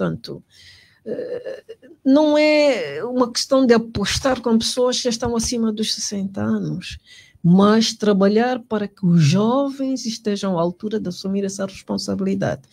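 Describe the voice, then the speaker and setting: A woman with a fairly high, somewhat breathy voice talks at a fairly slow pace with ordinary pitch variation, on a very clean recording with a silent background. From Angola, Moxico (Luena). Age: 60s. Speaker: politician. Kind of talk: interview. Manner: halting, many repetitions and fillers.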